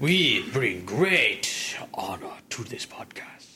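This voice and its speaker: A man whispers in a put-on character voice. He goes at a very slow pace. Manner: formal, solemn.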